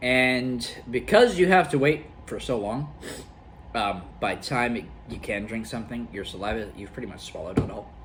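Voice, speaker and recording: Lively in intonation and moderate in pace, a man at a medium pitch shows big swings in loudness, with audible room echo and noticeable background noise. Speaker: gaming youtuber doing food challenge. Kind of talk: casual vlog talk to camera. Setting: at home with friends and family. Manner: halting, bumbling.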